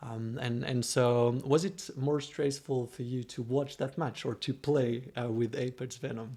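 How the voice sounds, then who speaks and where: A man with a French accent speaks fairly slowly with hardly any pauses. His tone is dark and mellow, somewhat breathy, with fairly even intonation. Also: medium pitch for a man. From France. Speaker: streaming show host. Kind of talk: casual livestream chat. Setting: livestream.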